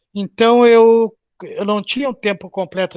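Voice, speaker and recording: Moderate pace and ordinary pitch variation. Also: man. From southern Brazil, Porto Alegre. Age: 70s. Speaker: retired bank worker, Covid-19 survivor. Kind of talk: oral history interview. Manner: halting.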